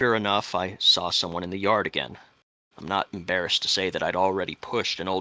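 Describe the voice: Plain reading aloud with fairly even intonation against a quiet background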